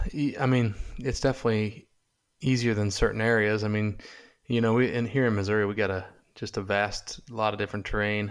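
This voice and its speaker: A fairly low-pitched man at a fairly quick pace, in a very clean recording with a silent background. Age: 30s. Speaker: hunting TV show producer and host. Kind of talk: casual interview. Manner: halting, many fillers.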